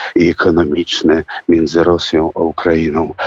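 Recorded with a dry, close sound and no echo, a man talks at a very deep, low pitch. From Russia. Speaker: singer and actor. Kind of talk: radio interview. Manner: halting.

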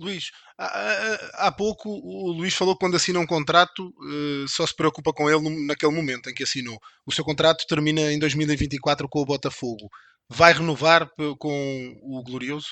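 Speaking with a Portuguese accent, a man talks at a moderate pace and a fairly high pitch, with ordinary pitch variation. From Portugal. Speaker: podcast host. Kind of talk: interview.

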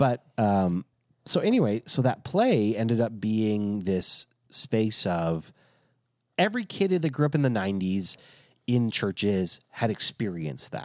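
The man has a plain, everyday voice, pitched fairly low. He speaks at a fairly slow pace, with a dry, close sound with no echo. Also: lively intonation. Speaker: pastor. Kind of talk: casual chat.

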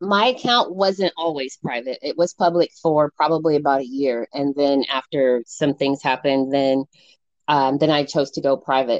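With an American accent, a woman speaks at a moderate pace in a very deep, low voice with ordinary pitch variation, the sound dry and close with no echo. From Colorado, US. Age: 40s. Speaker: social media personality, former college athlete. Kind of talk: casual interview chat. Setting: video call.

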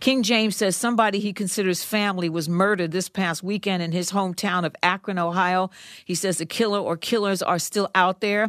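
In a very clean recording with a silent background and a dry, close sound with no echo, a woman with an unremarkable speaking voice talks at a fairly quick pace in a medium pitch, with fairly even intonation and hardly any pauses. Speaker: news anchor. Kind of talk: news reading.

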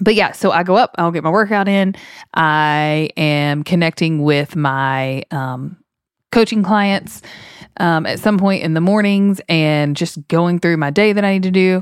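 A plain, everyday voice: a woman at a fairly low pitch, fairly slow pace and ordinary pitch variation, on a very clean recording with a silent background and a dry, close sound with no echo. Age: 30s. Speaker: podcast co-host, former teacher. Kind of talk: casual chat.

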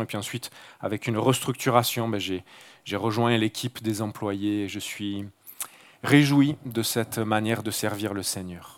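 A man with a Marseille accent speaks fairly slowly at a medium pitch with fairly even intonation, on a very clean recording with a silent background. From Marseille, southern France. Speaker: mission worker and guest preacher. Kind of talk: sermon. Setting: church service with congregation. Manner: halting.

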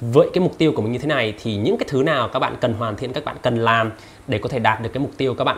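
This is a man speaking. His intonation is lively. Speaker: YouTuber reviewing books. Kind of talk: casual vlog-style book summary.

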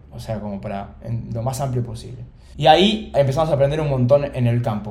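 Speaking very fast at a medium pitch, a man with a somewhat breathy, dark and mellow tone uses ordinary pitch variation amid audible room echo. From Argentina, Buenos Aires. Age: 20s. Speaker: startup founder. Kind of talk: interview conversation.

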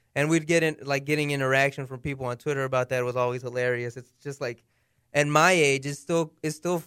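Recorded very cleanly against a silent background, a man with a plain, everyday voice speaks at a fairly high pitch with fairly even intonation. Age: 20s. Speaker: radio producer. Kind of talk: casual chat.

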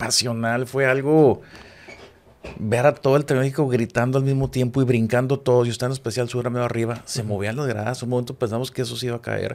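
At a very fast pace, a man delivers his words at medium pitch in a monotone, flat intonation. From Mexico, Chihuahua. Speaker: television production director. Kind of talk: casual interview chat.

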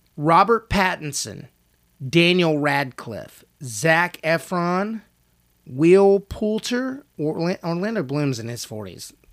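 A man's high-pitched voice at a very slow pace, with very wide pitch swings and big swings in loudness, on a very clean recording with a silent background. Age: 40s. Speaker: podcast co-host, actor. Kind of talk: casual chat.

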